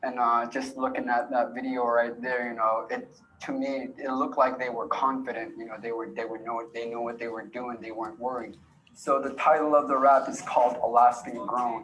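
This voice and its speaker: Recorded with audible room echo and noticeable background noise, a man speaks at a moderate pace in a medium pitch with a monotone, flat intonation. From Alaska, Yupik community. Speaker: youth storyteller and rapper. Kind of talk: presentation of own film.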